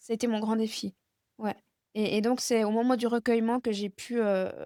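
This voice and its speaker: Her pitch fairly high, a woman speaks at a fairly slow pace with monotone, flat intonation, in a dry, close sound with no echo. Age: 30s. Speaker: guest speaking about chronic illness and grief. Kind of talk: interview about personal grief. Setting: video podcast interview. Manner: halting, many hesitations.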